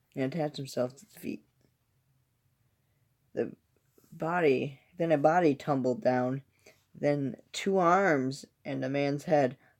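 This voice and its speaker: Quiet, fairly slow speech broken by long, frequent pauses. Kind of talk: reading scary stories aloud from a book. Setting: indoors at home, kept quiet so a toddler can sleep. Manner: quiet, subdued reading.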